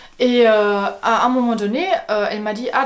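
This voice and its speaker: The speaker has a German accent. Audible room echo surrounds the voice. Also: woman. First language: German (speaking French). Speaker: video blogger. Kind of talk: casual vlog monologue. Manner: hesitant, many fillers.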